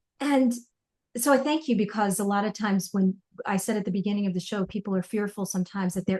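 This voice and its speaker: Somewhat breathy, a woman speaks at a fairly quick pace with medium pitch and ordinary pitch variation. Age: 50s. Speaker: podcast host and coach. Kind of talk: interview podcast.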